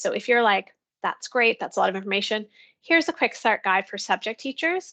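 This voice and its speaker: Recorded dry and close with no echo, a woman speaks at a fairly high pitch with lively intonation and a bright, sharp tone. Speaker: education technology coach. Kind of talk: online professional development presentation. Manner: fast.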